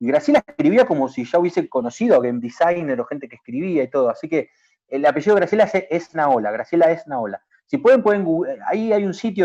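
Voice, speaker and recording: A man talks very fast in a high voice with a dark, mellow tone and very wide pitch swings. The sound is dry and close with no echo, against a quiet background. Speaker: video game industry public official. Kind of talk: talk / presentation. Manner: halting, many repetitions.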